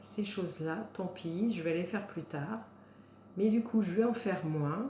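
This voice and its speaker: A woman speaks at a moderate pace with a medium pitch and ordinary pitch variation, and some room echo can be heard. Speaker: wellness coach. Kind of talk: guided self-help talk. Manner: hesitant, many fillers.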